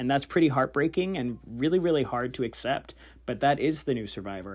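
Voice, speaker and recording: A man speaks in an ordinary speaking voice at a moderate pace with lively intonation. The recording is very clean, with a silent background. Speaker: former reality show contestant. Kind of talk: voice memo message. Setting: recorded voice memo.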